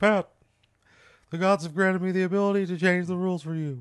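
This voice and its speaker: A man puts on a character voice with a high pitch. He rushes at a very fast pace with fairly even intonation. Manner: authoritative, officious.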